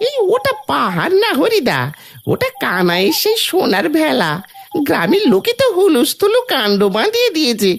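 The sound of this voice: A cartoonish character voice with a high pitch moves along at a fairly slow pace.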